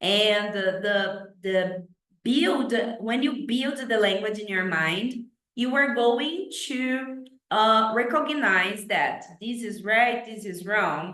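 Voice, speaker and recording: With a Brazilian accent, a woman speaks very slowly at a fairly high pitch, her intonation lively and her loudness swinging widely, with audible room echo. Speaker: English teacher. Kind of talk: tutorial. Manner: halting, with many fillers.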